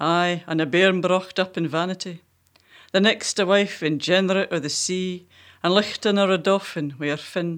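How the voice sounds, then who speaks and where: A woman speaks with a Scottish accent and fairly even intonation. The recording is very clean, with a silent background. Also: medium pitch for a woman, moderate pace. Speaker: poet and co-host. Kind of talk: casual interview. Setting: studio.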